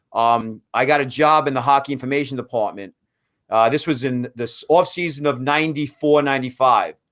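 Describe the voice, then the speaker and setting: Over a very clean recording with a silent background, a man with a Brooklyn accent talks at a fairly quick pace and a fairly high pitch. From US Northeast, Brooklyn, New York. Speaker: hockey draft analyst. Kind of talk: casual podcast interview. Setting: live stream.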